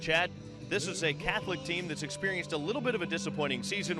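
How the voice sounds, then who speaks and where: Music plays in the background as a man talks at a very fast pace. His pitch is high and his intonation lively. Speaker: sports broadcaster. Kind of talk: live sports broadcast opening.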